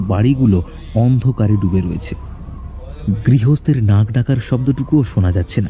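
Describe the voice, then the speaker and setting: A man with lively intonation, music in the background. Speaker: voice artist narrator. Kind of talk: horror story narration.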